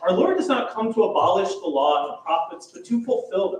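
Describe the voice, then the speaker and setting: A man's high voice at a fairly quick pace, with audible room echo. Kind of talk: lecture. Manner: loud.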